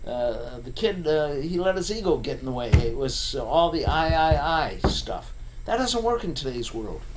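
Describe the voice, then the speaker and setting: This voice moves at a fairly slow pace with very wide pitch swings, and audible room echo surrounds it. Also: man. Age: 70s. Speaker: recruiter. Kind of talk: casual rant to camera. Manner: halting, many fillers.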